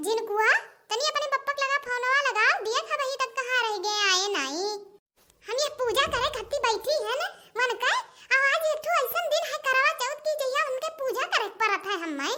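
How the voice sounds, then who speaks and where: A cartoonish, female-sounding character voice, squeaky and extremely high, goes along at a moderate pace. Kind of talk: comic rustic cartoon sketch. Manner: loud, scolding.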